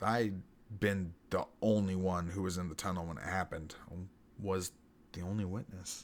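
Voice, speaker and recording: A man's put-on character voice, gravelly and very deep in pitch, at a moderate pace. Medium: read story. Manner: blunt, gritty, profane.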